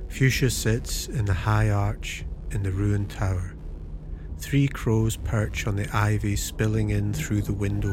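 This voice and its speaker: A man talks fairly slowly with music playing behind him. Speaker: audiobook narrator. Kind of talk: literary audiobook narration of gothic fiction, scripted. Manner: measured, atmospheric, unhurried.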